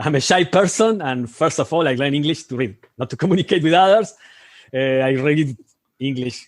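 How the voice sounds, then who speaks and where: A man with a strong Spanish accent speaks at a moderate pace, leaving long, frequent pauses. His pitch is fairly high, with ordinary pitch variation. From Argentina. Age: 50s. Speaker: amateur astronomer, lunar section coordinator. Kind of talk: interview. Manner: halting, many hesitations and restarts.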